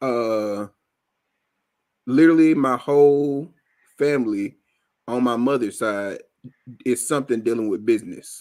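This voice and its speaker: With an American accent, a man speaks in a medium pitch with ordinary pitch variation and long, frequent pauses. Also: fairly slow pace. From Alabama, US South. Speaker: podcast host. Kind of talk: casual chat.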